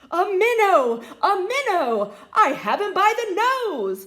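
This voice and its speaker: Using a put-on character voice, this woman talks fairly slowly at an extremely high pitch. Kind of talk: children's story reading. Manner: excited.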